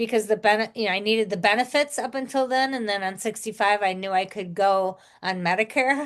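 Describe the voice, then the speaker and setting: A woman's unremarkable speaking voice, fairly high with ordinary pitch variation, at a fairly quick pace with hardly any pauses. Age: 60s. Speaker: podcast host, retired teacher. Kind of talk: casual chat.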